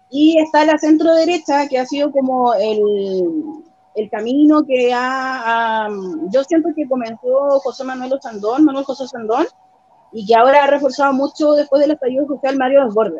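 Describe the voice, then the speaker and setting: Her high voice moves at a moderate pace, the woman's pitch varying in an ordinary way. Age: 30s. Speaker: local council candidate and radio presenter. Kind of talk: interview.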